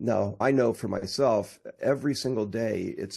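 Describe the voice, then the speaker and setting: Over a quiet background, a man with a dark, mellow tone and vocal fry speaks with ordinary pitch variation. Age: 60s. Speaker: technology and marketing entrepreneur. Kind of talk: interview.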